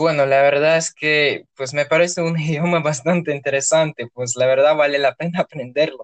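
A man's fairly high voice in a monotone, flat intonation, at a moderate pace with hardly any pauses. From Russia, Orenburg. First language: Russian (speaking Spanish). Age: 20s. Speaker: university student. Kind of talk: interview. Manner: hesitant, many fillers.

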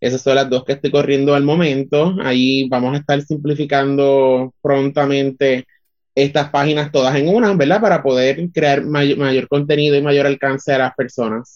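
An ordinary speaking voice from a man, fairly high in pitch, at a moderate pace, with very even loudness and fairly even intonation. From Puerto Rico, Utuado. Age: 20s. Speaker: communications student and artist. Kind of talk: interview.

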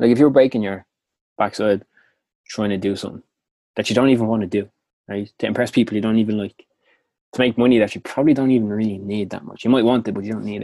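A man with a Dublin accent talks very fast in a dark, mellow tone at a fairly low pitch. He leaves long, frequent pauses on a very clean recording with a silent background. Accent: Dublin Irish. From Dublin, Ireland. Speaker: motivational podcast host. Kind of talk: scripted-style motivational talk. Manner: casual, upbeat, chatty.

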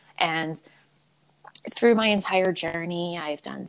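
A woman's fairly low voice in an American accent, an ordinary speaking voice with ordinary pitch variation at a moderate pace. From US, Philadelphia. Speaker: abuse survivor and advocate, podcast host. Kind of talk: interview, personal testimony.

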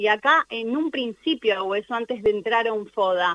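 Her intonation is lively. This woman keeps a moderate pace. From Argentina. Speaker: life coach. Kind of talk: radio interview.

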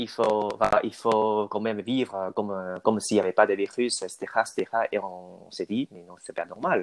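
At a fairly slow pace, a man with a fairly low pitch speaks with fairly even intonation and big swings in loudness, recorded dry and close with no echo. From Taiwan. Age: young. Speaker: student, aspiring French teacher. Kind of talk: interview. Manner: halting.

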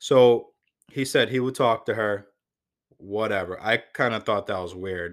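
A man with an unremarkable speaking voice and an American accent talks fairly slowly at a medium pitch with ordinary variation, in a very clean recording with a silent background. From Connecticut (Waterbury). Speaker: police officer, podcast host. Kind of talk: personal storytelling monologue.

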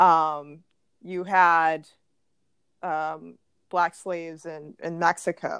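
On a very clean recording with a silent background, a woman speaks at a very slow pace with long, frequent pauses. Her fairly low pitch stays in a monotone, flat intonation. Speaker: guest, interviewee. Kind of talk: interview, casual chat.

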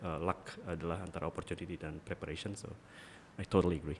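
Delivery comes at a very fast pace in a monotone, flat intonation. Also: man. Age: young. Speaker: business executive. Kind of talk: casual chat.

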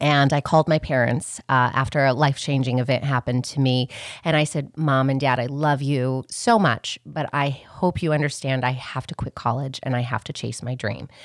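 Animated in tone, a woman with an American accent speaks at a moderate pace with hardly any pauses and a very deep, low pitch. The sound is dry and close with no echo, in a very clean recording with a silent background. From Montana, Continental Divide. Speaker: co-host. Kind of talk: casual chat. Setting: studio. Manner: animated, laughs often.

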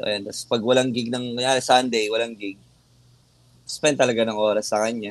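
Monotone, flat intonation marks a man talking at a fairly quick pace. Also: medium pitch for a man. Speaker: metal band vocalist. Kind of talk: casual interview chat.

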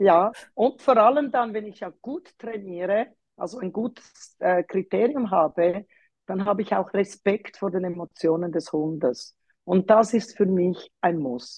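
An unremarkable speaking voice with lively intonation and big swings in loudness, at a fairly slow pace, in a dry, close sound with no echo. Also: woman, medium pitch for a woman. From Switzerland, Zurich. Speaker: dog trainer. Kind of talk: interview.

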